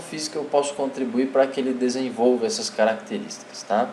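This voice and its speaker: Noticeable background noise and audible room echo surround a man speaking. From interior of São Paulo state, Brazil. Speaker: physical education teacher / course instructor. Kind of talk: online lecture. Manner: hesitant, many fillers.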